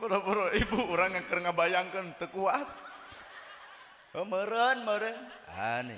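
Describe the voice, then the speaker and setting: With noticeable background noise and audible room echo, a man speaks in a raised, projected voice, high in pitch and lively in intonation. His pace is fairly slow, broken by long, frequent pauses. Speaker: Islamic preacher. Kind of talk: humorous sermon.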